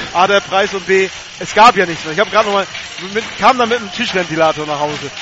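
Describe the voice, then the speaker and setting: A very fast-talking man with a high pitch and ordinary pitch variation, over noticeable background noise. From northern Germany. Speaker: radio color commentator. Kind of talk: live sports commentary. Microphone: crackling/noisy line.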